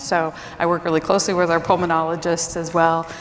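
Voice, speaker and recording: There is audible room echo and noticeable background noise. A woman with a fairly low pitch speaks at a moderate pace. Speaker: speech language pathologist. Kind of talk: conference presentation. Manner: informal.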